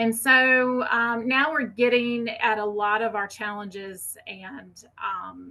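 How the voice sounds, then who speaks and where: A woman with a Southern US accent speaks at a very slow pace with hardly any pauses. Her fairly high pitch has a bright, sharp tone and ordinary pitch variation. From US South. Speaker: fire ecology researcher. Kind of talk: conference presentation.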